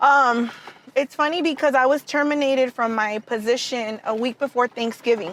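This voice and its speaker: A woman speaks with a Spanish accent, her voice high-pitched and animated. Her pitch varies in an ordinary way, and background noise is noticeable. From Southern California, Mexican-American, born in Tijuana. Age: young. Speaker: tax business owner. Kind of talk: interview.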